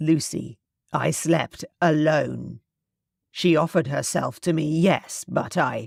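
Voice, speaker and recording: A woman puts on a booming character voice at a very deep, low pitch, speaking at a fairly slow pace. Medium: read story. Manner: formal, old-fashioned speech.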